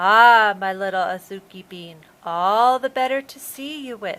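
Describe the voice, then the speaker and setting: A woman puts on a character voice at a medium pitch and a moderate pace. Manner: sweet, fake-nice.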